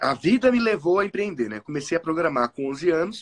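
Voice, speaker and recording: A man talks at a moderate pace, his voice sounding dry and close with no echo. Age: 20s. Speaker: entrepreneur and programmer. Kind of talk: interview.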